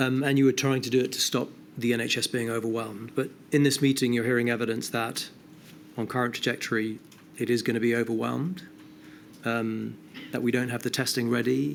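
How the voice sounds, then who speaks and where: With a British accent, a man talks at a fairly quick pace in a medium pitch, his intonation fairly even and broken by long, frequent pauses. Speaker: inquiry witness, behavioural science adviser. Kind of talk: formal inquiry testimony. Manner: fast.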